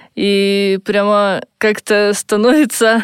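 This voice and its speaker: In a dry, close sound with no echo, a woman speaks at a medium pitch. Her intonation is monotone and flat. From Russia, Siberia (Irkutsk). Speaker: volunteer. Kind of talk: personal testimony.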